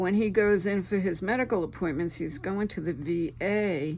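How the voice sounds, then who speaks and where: Her fairly low voice has vocal fry and a relaxed tone as the woman speaks at a moderate pace. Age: 70s. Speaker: crafting YouTuber. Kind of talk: casual craft tutorial chat. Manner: chatty, relaxed.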